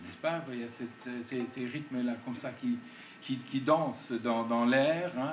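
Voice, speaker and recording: A man with a non-native accent at a very slow pace, with audible room echo. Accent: foreign accent in French. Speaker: composer. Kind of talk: public talk interview. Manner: hesitant, many fillers.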